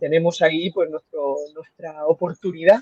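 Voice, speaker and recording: A man talks in a high pitch at a moderate pace. The sound is dry and close with no echo. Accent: Murcian. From Spain, Murcia. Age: 30s. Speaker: radiologist. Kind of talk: interview conversation. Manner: halting.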